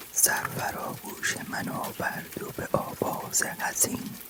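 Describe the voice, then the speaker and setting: Someone is whispering in a gentle tone at a very slow pace over noticeable background noise. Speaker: ASMR poetry reader. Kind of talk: whispered poetry reading for sleep. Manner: whispered, soft-spoken, gentle.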